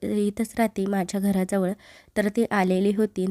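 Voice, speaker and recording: A woman speaks at a medium pitch with a dark, mellow tone, her voice dry and close with no echo on a very clean recording over a silent background. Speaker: vlogger, homemaker. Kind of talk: vlog narration. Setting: at home, kitchen.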